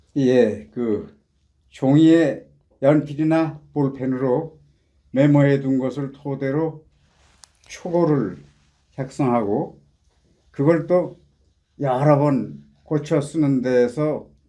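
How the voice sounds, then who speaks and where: A man's dark, mellow voice, fairly high in pitch with ordinary pitch variation, at a very slow pace full of long, frequent pauses. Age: 80s+. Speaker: poet. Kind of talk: interview; poetry reading.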